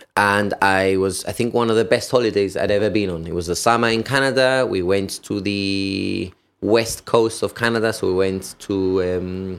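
Over music in the background, a man with a Gibraltarian accent speaks at a fairly low pitch and moderate pace, with fairly even intonation and hardly any pauses. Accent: Gibraltarian (Llanito) English. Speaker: firefighter and personal trainer. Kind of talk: casual interview.

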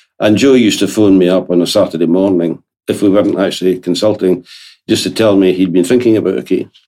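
In a Scottish accent, a man talks at a very fast pace with a very deep, low pitch, a dark, mellow tone, very even loudness and fairly even intonation. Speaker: lawyer. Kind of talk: interview.

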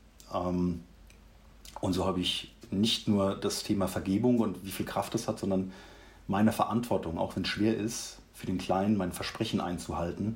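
A man with a very deep, low pitch speaks in a somewhat breathy voice with fairly even intonation. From Mannheim, Germany. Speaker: leadership coach. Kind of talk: interview, personal story.

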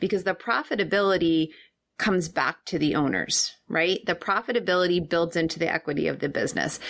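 A woman with an American accent and vocal fry, at a fairly quick pace, with very even loudness, ordinary pitch variation, and a very clean recording over a silent background. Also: fairly low pitch for a woman. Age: 40s. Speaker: financial coach for business owners. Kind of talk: casual interview.

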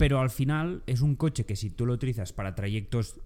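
On a very clean recording with a silent background, a man speaks at a moderate pace in a dark, mellow tone with ordinary pitch variation. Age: young. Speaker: podcast co-host. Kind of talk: casual chat. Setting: new studio on sofas.

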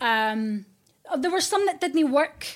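A woman speaks with a Scottish accent. Her intonation is lively. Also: very clean recording, silent background. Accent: Scottish, kept. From Scotland, Fife. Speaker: radio presenter. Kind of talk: casual chat. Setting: hotel room studio.

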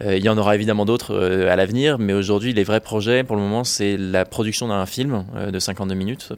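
A man's fairly low voice, fairly quick, with fairly even intonation. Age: 20s. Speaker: adventurer and filmmaker. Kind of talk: interview. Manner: hesitant, frequent fillers.

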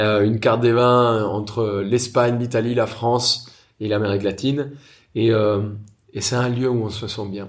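A man speaks at a fairly slow pace with monotone, flat intonation, with audible room echo. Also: medium pitch for a man. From Colombia, Bogota. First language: Spanish (speaking French). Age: 30s. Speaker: chef and restaurateur. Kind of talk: interview.

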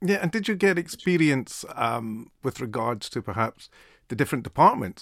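A Scottish-accented man talks at a fairly quick pace on a very clean recording with a silent background and a dry, close sound with no echo. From Scotland. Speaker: podcast host. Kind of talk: interview.

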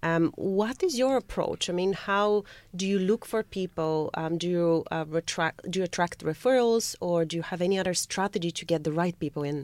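On a very clean recording with a silent background, a woman with an ordinary speaking voice and fairly low pitch speaks at a moderate pace with hardly any pauses. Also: ordinary pitch variation, dry, close sound with no echo. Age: 30s. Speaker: guest co-host. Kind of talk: radio interview. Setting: radio studio.

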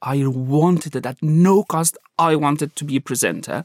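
Dry and close with no echo, a man's fairly high voice in an Afghan accent carries lively intonation. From Afghanistan. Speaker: journalist. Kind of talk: interview conversation, storytelling. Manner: halting, searching for words.

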